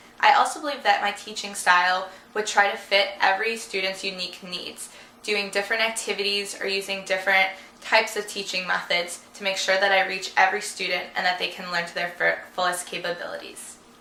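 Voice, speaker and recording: A woman with an American accent and medium pitch talks at a fairly quick pace with fairly even intonation and big swings in loudness, amid noticeable background noise and audible room echo. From US Midwest, Chicago suburbs. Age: 20s. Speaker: job applicant. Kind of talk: job application video monologue.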